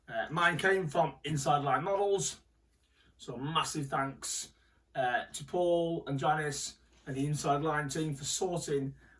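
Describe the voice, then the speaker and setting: A man speaks with a British accent at a fairly high pitch. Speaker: RC hobby YouTuber. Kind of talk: unboxing video talk. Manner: halting.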